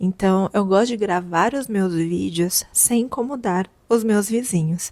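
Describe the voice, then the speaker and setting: A soft-spoken woman's medium-pitched voice with ordinary pitch variation. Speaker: content creator. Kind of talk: casual vlog talk. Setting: at home, apartment. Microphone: lavalier mic held close to mouth.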